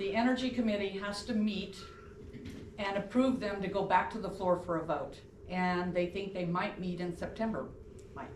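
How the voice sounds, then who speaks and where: A woman speaks at a moderate pace with fairly even intonation. Audible room echo and noticeable background noise surround her voice. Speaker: public commenter. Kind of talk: public comment. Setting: council meeting. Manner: loud.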